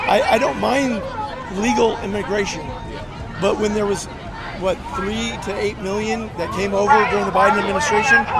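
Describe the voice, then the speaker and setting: Over crowd noise and audible room echo, a man with an American accent and a high pitch talks with ordinary pitch variation and long, frequent pauses. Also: moderate pace. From California, San Jose area. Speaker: bystander interviewed on the street. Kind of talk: street interview. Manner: animated.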